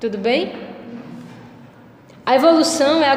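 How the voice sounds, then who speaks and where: A woman speaks at a high pitch. Audible room echo and noticeable background noise surround her. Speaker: philosophy teacher. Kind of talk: lecture.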